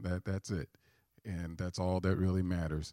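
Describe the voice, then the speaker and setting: A man with an American accent, a very deep, low pitch, a dark, mellow tone and a fairly slow pace. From St. Louis, Missouri. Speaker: minister and family advisor. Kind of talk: sermon. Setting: church with audience.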